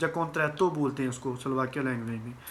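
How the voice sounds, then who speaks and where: Bright and sharp in tone, this man's voice carries a slight Punjabi accent. His pitch variation is ordinary. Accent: Punjabi touch in Hindi. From Punjab, India. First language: Punjabi (speaking Hindi). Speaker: vlogger. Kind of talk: informational vlog. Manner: casual, somewhat halting.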